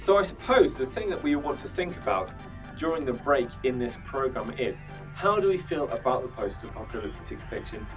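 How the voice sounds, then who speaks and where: Music in the background under a man talking fairly quickly. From British. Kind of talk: casual talk to camera.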